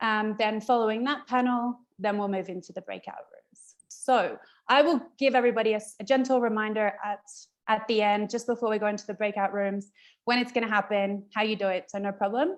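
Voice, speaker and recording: Fairly quick and fairly high in pitch, a woman talks with an Australian accent. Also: fairly even intonation. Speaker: event host. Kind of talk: virtual event introduction. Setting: video call.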